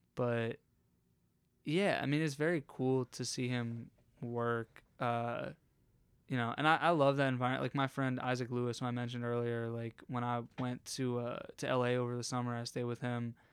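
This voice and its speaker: A man with an American accent speaks at a medium pitch with fairly even intonation, recorded very cleanly against a silent background. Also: moderate pace. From Pennsylvania, Harrisburg. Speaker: comedian. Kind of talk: casual chat. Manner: halting.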